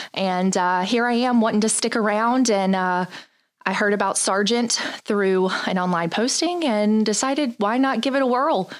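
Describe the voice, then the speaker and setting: With a slight Southern US accent, a woman speaks in an energetic tone with ordinary pitch variation. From North Carolina. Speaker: communications director, former TV news anchor. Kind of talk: company video chat.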